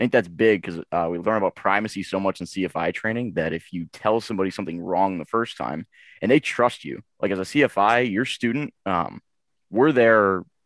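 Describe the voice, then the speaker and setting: A man's fairly low voice with an American accent, a normal speaking voice at a moderate pace with ordinary pitch variation, dry and close with no echo, on a very clean recording with a silent background. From Boston, Massachusetts. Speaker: new flight instructor. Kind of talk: casual panel interview.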